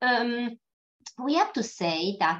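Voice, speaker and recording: Her pitch varying in an ordinary way, a woman talks at a very slow pace. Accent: Italian. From Italy. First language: Italian. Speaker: pathologist. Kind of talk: lecture. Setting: webinar. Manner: halting.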